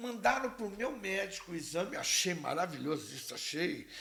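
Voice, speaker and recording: Speaking at a fairly slow pace, a man sounds animated, with lively intonation. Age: 70s. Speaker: physical education professor. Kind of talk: casual podcast chat.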